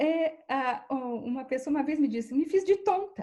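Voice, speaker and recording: A woman at a fairly slow pace, with very wide pitch swings. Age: 60s. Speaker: professor and researcher. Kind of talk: interview. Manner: halting.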